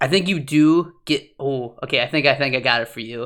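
In a very clean recording with a silent background, a man speaks at a moderate pace in an animated tone. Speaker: podcast host. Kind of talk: casual chat. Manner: loud; animated, laughs often.

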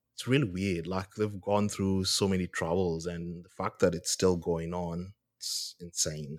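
A man's very deep, low voice at a fairly slow pace, with hardly any pauses, on a very clean recording with a silent background. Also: fairly even intonation. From Kenya. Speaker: podcast co-host. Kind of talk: casual chat.

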